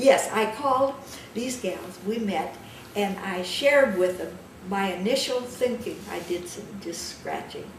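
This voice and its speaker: At a fairly slow pace, a woman with a medium-pitched voice speaks in big swings of loudness, with audible room echo and noticeable background noise. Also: ordinary pitch variation. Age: 80s+. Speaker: elder interviewee, community researcher. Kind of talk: interview conversation.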